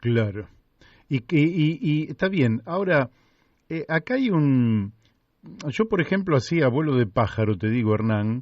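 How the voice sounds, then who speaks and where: With very wide pitch swings and a fairly high pitch, a man speaks at a fairly slow pace broken by long, frequent pauses. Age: 60s. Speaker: radio host. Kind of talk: radio interview. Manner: halting.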